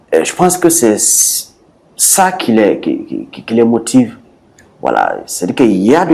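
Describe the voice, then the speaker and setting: Speaking at a moderate pace, a man has a Burkinabe accent. His pitch swings are very wide. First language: Bissa (speaking French). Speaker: sport creator. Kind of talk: interview. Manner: hesitant, many fillers.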